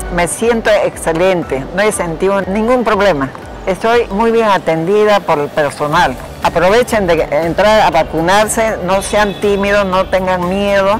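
Over music in the background, a woman speaks at a fairly slow pace. Her loudness is very even and her pitch variation ordinary. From Peru. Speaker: vaccinated senior citizen. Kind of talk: interview answer. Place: hall.

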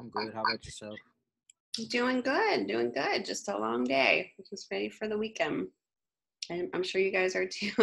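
A woman talks at a moderate pace, stopping often for long pauses. Her loudness swings widely. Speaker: online design course instructor. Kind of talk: lecture. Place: home room.

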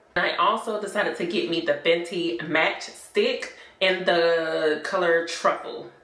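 A woman talks at a fairly slow pace with hardly any pauses, her fairly low pitch held in fairly even intonation amid audible room echo. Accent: American. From South Carolina. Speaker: vlogger. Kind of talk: casual vlog talk to camera. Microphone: phone near.

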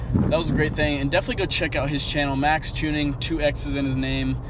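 Very fast male speech, dry with no echo, against loud background noise. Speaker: vlogger. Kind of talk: casual vlog chat. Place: car. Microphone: phone near.

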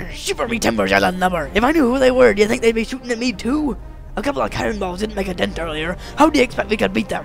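Over clear music in the background, a man uses a put-on character voice with a high pitch at a very fast pace. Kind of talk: comic pirate voice. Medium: audio drama. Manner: gruff, blustering.

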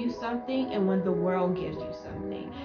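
A woman talks at a moderate pace. Behind her, clear music can be heard. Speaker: YouTuber and mother. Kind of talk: casual talk to camera. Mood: reflective, faith-focused. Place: home room. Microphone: camera far.

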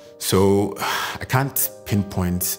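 Clear music plays behind a man as he talks. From Ghana. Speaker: freelance voice-over artist, photographer, YouTuber. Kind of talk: interview answer about personal experience. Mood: calm, reflective. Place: home room.

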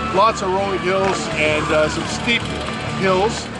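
Loud background music under a man speaking at a moderate pace. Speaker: cyclist vlogger. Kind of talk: casual vlog chat. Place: street. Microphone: phone near.

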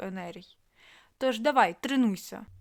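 Using a put-on character voice, a woman speaks at a moderate pace with a rumbling, fairly high-pitched sound. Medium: read story. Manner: grumbling, patronizing.

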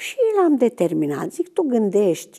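A woman with a dark, mellow tone and lively intonation speaks at a fairly slow pace against a quiet background. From Romania. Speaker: retired biology teacher. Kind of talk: testimony. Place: studio.

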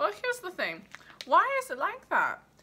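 Her raised, projected voice shows very wide pitch swings as the woman speaks. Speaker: comic sketch performer. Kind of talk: comedic mock phone call monologue. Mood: exasperated, wry, hesitant.

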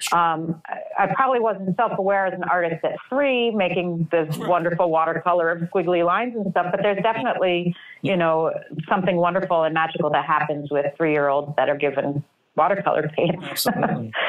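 With an American accent, a woman talks at a fairly low pitch, with ordinary pitch variation and very even loudness. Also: fairly quick pace. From New York City. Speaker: artist; guest. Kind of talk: casual interview. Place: home room. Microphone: webcam.

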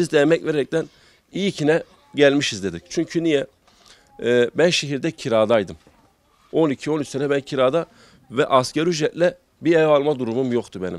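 At a moderate pace, a man with a fairly high pitch and ordinary pitch variation speaks with long, frequent pauses in a dry sound with no echo. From Gaziantep, Turkey; Turkey. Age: 30s. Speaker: small livestock farmer. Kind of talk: interview; interview answer. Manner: halting with many fillers. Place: farm machine. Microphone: handheld.

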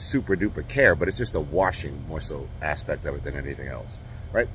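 Speech moves at a fairly quick pace with a dry sound that has no echo and light background noise. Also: man. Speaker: car owner vlogger. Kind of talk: casual vlog chat. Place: street. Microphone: phone near.

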